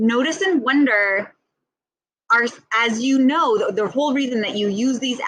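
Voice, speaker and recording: A woman speaks with lively intonation. Her pitch is fairly high. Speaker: ESL teacher trainer. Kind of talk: tutorial. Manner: fast.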